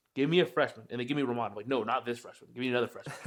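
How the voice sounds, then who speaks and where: This man speaks with an American accent. His pace is very fast. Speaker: podcast co-host. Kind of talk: casual chat.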